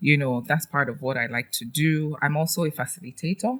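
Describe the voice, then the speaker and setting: A woman with a Nigerian accent talks at a moderate pace with lively intonation. Her voice is very deep and low in pitch, and somewhat breathy. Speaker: trainer and educator. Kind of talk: podcast interview. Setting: studio.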